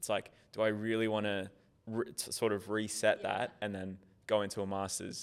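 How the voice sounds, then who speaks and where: A man speaks in a normal speaking voice. His pitch is fairly low and his intonation fairly even. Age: 20s. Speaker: master's student in information technology. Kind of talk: casual chat.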